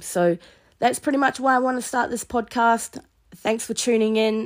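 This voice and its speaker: A woman speaks at a moderate pace. She has a New Zealand accent. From New Zealand, East Coast. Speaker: podcast host, youth justice worker. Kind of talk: solo podcast monologue. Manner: hesitant, with fillers.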